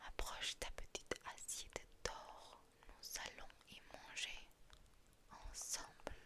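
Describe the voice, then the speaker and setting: Someone whispers at a very slow pace with long, frequent pauses. Noticeable background noise runs underneath. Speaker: ASMR creator. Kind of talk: fairy tale reading. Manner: soft-spoken.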